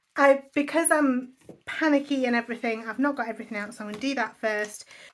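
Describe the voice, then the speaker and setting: The speech comes in an English accent. It moves at a fairly quick pace. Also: woman. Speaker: budgeting vlogger. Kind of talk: casual vlog chat. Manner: fast.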